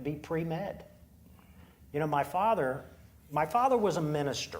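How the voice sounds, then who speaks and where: With an American accent, a man speaks at a moderate pace in a somewhat breathy, fairly high voice whose pitch swings very widely, and the room echo is audible. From Eastern Shore of Maryland (Salisbury). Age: 60s. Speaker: poultry company executive. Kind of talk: onstage interview.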